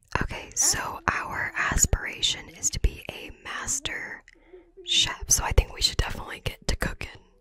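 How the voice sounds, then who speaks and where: The delivery is fairly slow. A woman whispers the words. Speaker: ASMR content creator and gamer; ASMR content creator, gamer. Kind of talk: casual gameplay commentary to camera. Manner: whispered, close-up. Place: home room.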